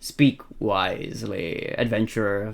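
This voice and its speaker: A man performs a put-on character voice at a medium pitch. He speaks at a fairly slow pace. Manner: wise, solemn, commanding.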